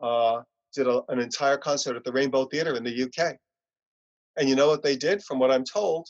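A man speaks with a New York accent at a moderate pace. His pitch sits fairly high. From US Northeast, Long Island, New York. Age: 60s. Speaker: punk musician. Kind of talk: interview. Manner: soft-spoken.

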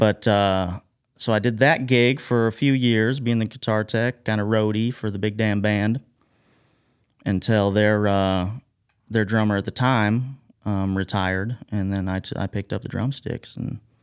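A man has a plain, everyday voice with a fairly low pitch. He speaks at a moderate pace with fairly even intonation. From Southern Illinois, US (Carbondale area). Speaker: record label founder and musician. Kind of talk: interview.

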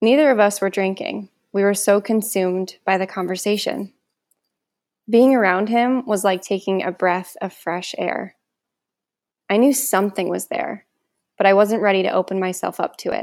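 Captured in a very clean recording with a silent background, a woman speaks at medium pitch and moderate pace with ordinary pitch variation in an ordinary speaking voice. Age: 20s. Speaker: podcast guest sharing recovery story. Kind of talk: reading aloud.

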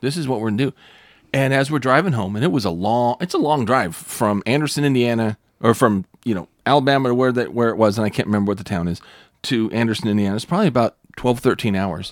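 Very fast and animated, a man with an American accent and a medium pitch uses lively intonation in a dry, close sound with no echo, on a very clean recording with a silent background. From Northern US. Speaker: pastor and podcast host. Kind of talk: casual chat.

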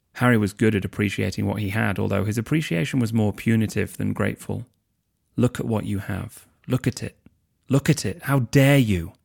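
Fairly quick and marked by vocal fry, a man talks on a very clean recording with a silent background. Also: fairly low pitch for a man, ordinary pitch variation, dry, close sound with no echo. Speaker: husband reading for the host. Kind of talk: audiobook-style reading aloud of fan fiction, narration with quoted character dialogue. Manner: measured, expressive storyteller pacing; shifts to emotional, voiced dialogue for characters.

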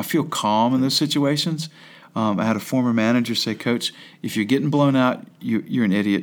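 A plain, everyday voice in an American accent moves at a fairly quick pace with ordinary pitch variation and very even loudness on a very clean recording with a silent background. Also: man, medium pitch for a man. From Staunton, Virginia. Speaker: high school basketball coach. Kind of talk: interview. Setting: classroom.

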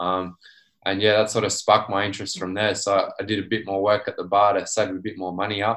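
Against a quiet background, a man speaks with an Australian accent. His pitch is fairly low and his intonation monotone and flat. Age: 20s. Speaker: small business owner, dent repair technician. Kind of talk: casual interview.

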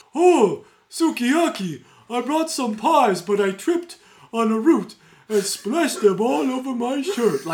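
In a put-on character voice, the speaker uses a fairly high pitch and a fairly slow pace. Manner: dopey, slow.

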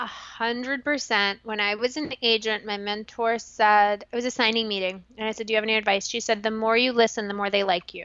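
With an American accent, a woman in an unremarkable speaking voice talks at a fairly quick pace, fairly high in pitch, with fairly even intonation and hardly any pauses. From England and Saudi Arabia, then suburban New York from teens. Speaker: writer, filmmaker and former talent agent. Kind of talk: interview.

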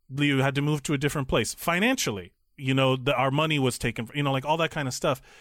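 Very fast speech comes from a man with fairly high pitch and ordinary pitch variation. The recording is very clean, with a silent background. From Miami, Florida (Cuban-American). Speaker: podcast co-host. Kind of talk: casual chat. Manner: loud.

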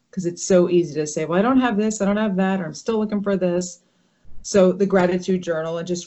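At a fairly quick pace, a woman with an American accent talks in an unremarkable speaking voice at a fairly low pitch and fairly even intonation. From US, northern New Jersey. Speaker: brain injury survivor. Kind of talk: interview. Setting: video call.

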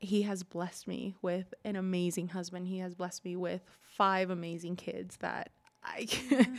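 A woman with an American accent talks at a moderate pace in a medium-pitched voice. Her intonation is monotone and flat. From California, Los Angeles area. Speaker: mother of five, pastor's wife. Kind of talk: interview, personal testimony.

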